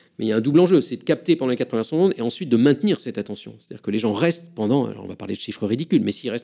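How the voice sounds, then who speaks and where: The delivery is very fast, with lively intonation and a dark, mellow tone. The recording is very clean, with a silent background. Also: man. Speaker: physicist and science communicator. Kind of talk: interview. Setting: recorded interview at a climate venue.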